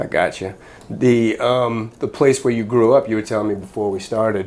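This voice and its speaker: An ordinary speaking voice comes through at a moderate pace with fairly even intonation. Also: man, medium pitch for a man. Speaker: podcast interviewer. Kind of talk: interview questions.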